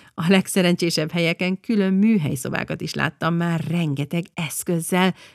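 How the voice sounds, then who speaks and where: At a moderate pace, a woman talks at a medium pitch in a dry, close sound with no echo. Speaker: podcast host. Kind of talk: scripted narration. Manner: animated.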